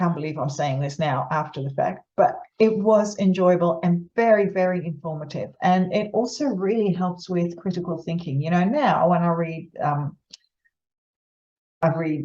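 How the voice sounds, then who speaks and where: A woman with a fairly low, somewhat breathy voice and a dark, mellow tone speaks at a moderate pace with ordinary pitch variation. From Netherlands. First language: Dutch. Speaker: psychologist. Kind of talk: informal explainer to camera. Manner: conversational, with many fillers and restarts.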